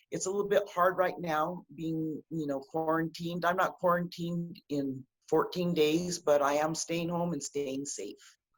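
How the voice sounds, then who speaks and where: A woman speaks in a plain, everyday voice, fairly low-pitched and fairly even in intonation, at a moderate pace with hardly any pauses. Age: 60s. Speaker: political candidate. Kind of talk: interview.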